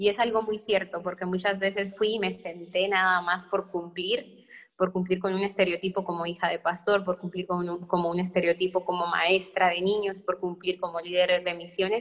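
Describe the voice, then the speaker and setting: Hardly pausing, a woman speaks at a moderate pace and medium pitch in a monotone, flat intonation. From northern Mexico, Sonora. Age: 20s. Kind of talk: testimony.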